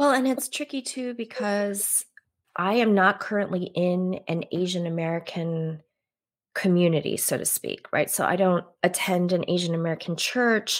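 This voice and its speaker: In a normal speaking voice, a woman at medium pitch talks with ordinary pitch variation on a very clean recording with a silent background. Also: fairly slow pace. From US, Korean-born, raised in America from infancy. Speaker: author and yoga instructor. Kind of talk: casual interview. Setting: live video stream.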